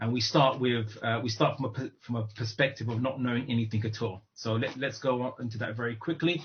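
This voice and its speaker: Somewhat breathy, a man talks at a fairly quick pace with fairly even intonation. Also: medium pitch for a man, hardly any pauses. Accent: British. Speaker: Islamic lecturer. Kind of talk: online lecture. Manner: halting, many fillers.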